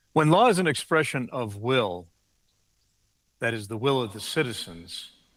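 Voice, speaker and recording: With an American accent, a man speaks at a moderate pace and with ordinary pitch variation. Room echo is audible. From United States. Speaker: law professor. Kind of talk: keynote lecture. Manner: formal.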